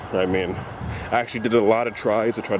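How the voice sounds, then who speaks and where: Over noticeable background noise, a man with a fairly low voice speaks fairly quickly with fairly even intonation. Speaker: vlogger. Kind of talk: casual vlog.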